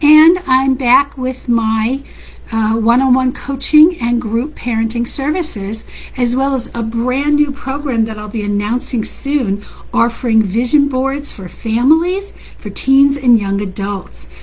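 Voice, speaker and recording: Noticeable background noise fills the clip. A woman speaks loudly at a high pitch and a fairly slow pace. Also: ordinary pitch variation. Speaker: parenting coach. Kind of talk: casual talk to online audience. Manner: animated.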